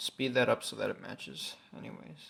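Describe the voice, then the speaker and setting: The recording is very clean with a silent background. Speech moves at a fairly slow pace. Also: man. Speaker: gaming video creator. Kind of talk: gameplay commentary. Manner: slow at times.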